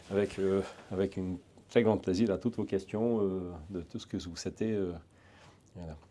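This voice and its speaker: In a Hungarian accent, a man speaks at a very deep, low pitch with a dark, mellow tone and monotone, flat intonation. His moderate pace is broken by long, frequent pauses, and the recording is very clean with a silent background. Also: big swings in loudness. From eastern Hungary. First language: Hungarian (speaking French). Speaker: private security trainer, ex-legionnaire. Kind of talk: interview. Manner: hesitant, many fillers and repetitions.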